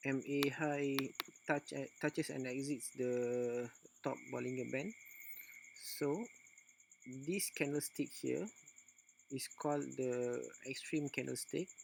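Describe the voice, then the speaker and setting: A man with a non-native accent, talking at a very slow pace with long, frequent pauses. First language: non-native English speaker. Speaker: forex trader. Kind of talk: screen-recorded trading tutorial. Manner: hesitant, many filler sounds.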